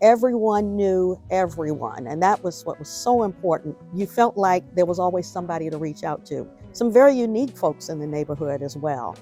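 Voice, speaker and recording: A woman with an American accent speaks at a fairly low pitch, fairly quickly and with hardly any pauses. Her intonation is lively, and music plays in the background. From Washington, DC. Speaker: oral history narrator. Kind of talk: oral history interview answer. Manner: conversational, reminiscing.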